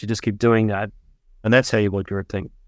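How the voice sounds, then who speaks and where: A man with an Australian accent speaks at a medium pitch. The sound is dry and close with no echo, in a very clean recording with a silent background. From Melbourne, Australia. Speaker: investment fund founder, physicist. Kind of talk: interview.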